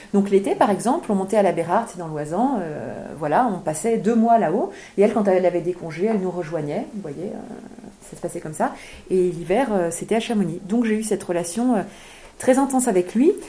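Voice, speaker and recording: A woman speaks at a medium pitch with lively intonation and a fairly quick pace. Noticeable background noise sits behind her. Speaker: author. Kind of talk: book event talk.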